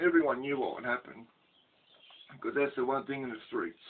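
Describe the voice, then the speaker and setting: This is a man speaking. He talks with an Australian accent. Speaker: ex-prisoner storyteller. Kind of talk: casual storytelling monologue. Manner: halting, many fillers.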